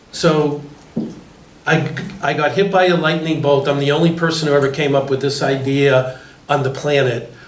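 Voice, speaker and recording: Fairly high-pitched male voice, monotone and flat, at a moderate pace with long, frequent pauses and very even loudness, amid noticeable background noise and audible room echo. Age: 60s. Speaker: panel moderator. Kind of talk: panel discussion.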